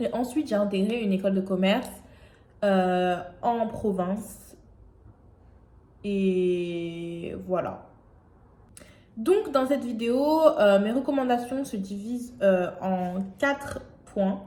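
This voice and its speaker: A woman's very slow, somewhat breathy voice at a medium pitch with a dark, mellow tone, lively intonation, long, frequent pauses and audible room echo. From France, Aubervilliers (Paris suburbs). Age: 20s. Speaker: YouTuber. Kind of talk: vlog monologue. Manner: hesitant, many fillers.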